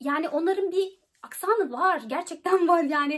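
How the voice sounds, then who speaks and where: Against a quiet background, a woman speaks at an extremely high pitch. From Turkey. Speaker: YouTuber giving study-abroad advice. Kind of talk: informational vlog. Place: home room. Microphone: phone near.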